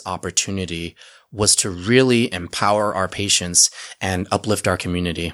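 With an American accent and a plain, everyday voice, a man speaks at a moderate pace and fairly low pitch with ordinary pitch variation, on a very clean recording with a silent background. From Utah. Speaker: cannabis pharmacy owner. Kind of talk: podcast interview.

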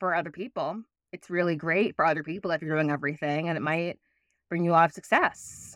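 In a very clean recording with a silent background and a dry, close sound with no echo, a woman with an American accent talks at a very fast pace with fairly even intonation. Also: fairly low pitch for a woman. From New York City, Manhattan. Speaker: life coach and playwright. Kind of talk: interview conversation.

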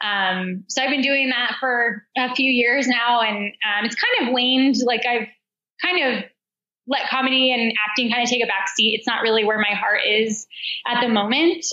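A woman's high voice with an American accent at a moderate pace, very even in loudness, with ordinary pitch variation. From Denver, Colorado, US. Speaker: elite marathon runner and running coach. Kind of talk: interview.

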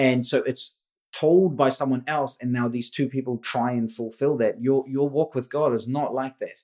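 A man of medium pitch holds a fairly even intonation and moves at a moderate pace. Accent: New Zealand. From India, raised in New Zealand. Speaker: business and leadership coach. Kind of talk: casual interview chat.

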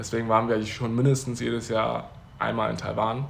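There is audible room echo and noticeable background noise. A man with a medium pitch talks in a monotone, flat intonation. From Germany. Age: 20s. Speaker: podcast guest. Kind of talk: casual interview. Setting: Uganda, near Kampala.

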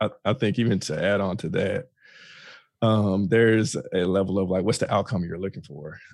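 A man with an unremarkable speaking voice and an American accent, fairly low in pitch, with ordinary pitch variation and a moderate pace, on a very clean recording with a silent background. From Texas, Fort Worth. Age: 30s. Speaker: student affairs worker. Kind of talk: casual chat.

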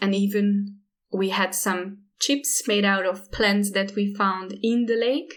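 A woman with a Hungarian accent speaks at a very slow pace and medium pitch. Her loudness stays very even and her intonation fairly even. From Hungary. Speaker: artist and environmental activist. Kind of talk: interview.

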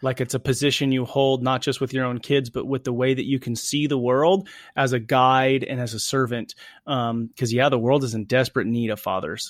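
In an ordinary speaking voice, a man with medium pitch and fairly even intonation speaks at a fairly quick pace in a very clean recording with a silent background. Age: 30s. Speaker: podcast host. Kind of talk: casual chat.

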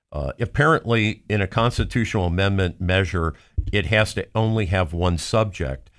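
Recorded very cleanly against a silent background, a man in an American accent speaks at a moderate pace with a fairly low pitch and ordinary pitch variation. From Cincinnati, Ohio. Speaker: co-host, automobile industry commentator. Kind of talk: casual chat.

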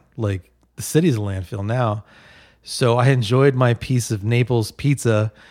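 Recorded very cleanly against a silent background, the sound dry and close with no echo, a man with a plain, everyday voice and medium pitch speaks at a fairly slow pace with ordinary pitch variation. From New Jersey (Bergenfield), later San Francisco. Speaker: podcast guest. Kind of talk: casual chat.

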